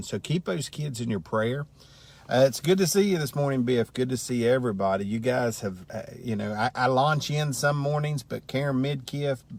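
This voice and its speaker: A man with a normal speaking voice, a moderate pace and ordinary pitch variation. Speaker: Bible study teacher. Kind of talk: casual Bible lesson livestream. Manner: conversational.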